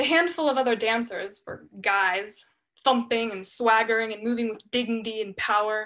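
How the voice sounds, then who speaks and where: A woman with a bright, sharp tone speaks at a moderate pace with ordinary pitch variation and big swings in loudness, over a quiet background. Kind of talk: dramatic monologue performance. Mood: reflective, expressive storytelling. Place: home room. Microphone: webcam.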